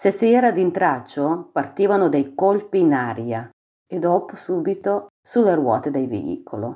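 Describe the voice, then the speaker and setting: A woman with a fairly low pitch and a dark, mellow tone speaks fairly slowly with vocal fry and very wide pitch swings. The recording is very clean, with a silent background. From Ukraine, Dnipro. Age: 40s. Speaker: refugee. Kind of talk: testimony.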